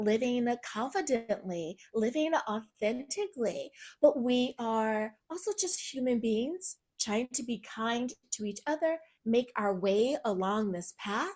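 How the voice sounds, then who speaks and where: A woman with an American accent, a fairly high pitch, a dark, mellow tone, lively intonation and a very slow pace. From US South, Virginia. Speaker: pastoral counselor and empowerment coach. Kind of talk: podcast interview.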